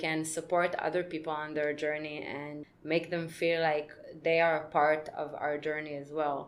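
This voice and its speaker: A woman with an Israeli accent talks at a fairly slow pace, her fairly low voice in a monotone, flat intonation. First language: Hebrew. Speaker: podcast co-host. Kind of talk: casual chat.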